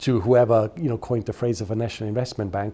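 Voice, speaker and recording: Speaking with a non-native accent, the man has a medium-pitched voice. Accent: non-native, noticeable. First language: German. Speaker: interviewee in documentary. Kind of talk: interview.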